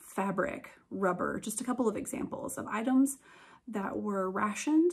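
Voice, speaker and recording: A woman's somewhat breathy voice, fairly high in pitch, with lively intonation. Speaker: museum educator. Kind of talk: educational talk to camera. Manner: casual, hesitant with fillers.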